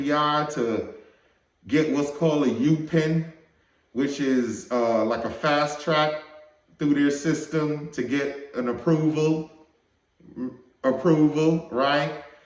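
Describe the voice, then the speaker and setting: Speech comes at a very slow pace with fairly even intonation and audible room echo. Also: man. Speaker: firearms channel host. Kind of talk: casual vlog talk to camera.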